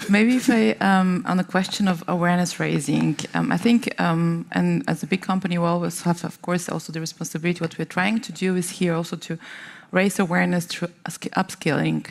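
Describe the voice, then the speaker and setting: A woman with a non-native accent and a fairly low pitch talks at a fairly quick pace, with ordinary pitch variation. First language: not English. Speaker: tech company policy lead on panel. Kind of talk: panel discussion. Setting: conference stage with audience. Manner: halting, many fillers.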